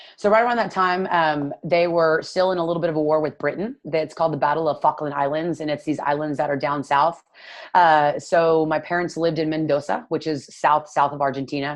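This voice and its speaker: With a Texan accent, a woman speaks in a very deep, low pitch. Her intonation stays fairly even over a quiet background. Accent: Texan American English. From Texas, Dallas. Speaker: nutrition coach. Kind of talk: casual interview chat.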